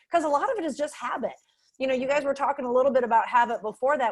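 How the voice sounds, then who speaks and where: A woman speaks loudly. Her pitch variation is ordinary. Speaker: panel moderator. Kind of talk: panel discussion over video call.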